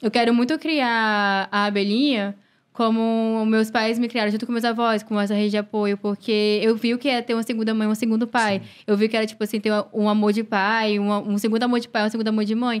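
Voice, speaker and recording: In a very clean recording with a silent background, a woman with a fairly high pitch talks at a fairly quick pace in monotone, flat intonation. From Fortaleza, Ceará, Brazil. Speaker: model and content creator. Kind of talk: casual chat. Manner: halting.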